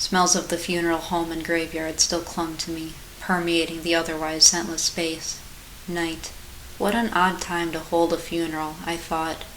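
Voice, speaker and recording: Noticeable background noise accompanies a woman with a fairly low pitch. She speaks at a moderate pace with monotone, flat intonation. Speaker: author and narrator. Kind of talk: horror short story reading.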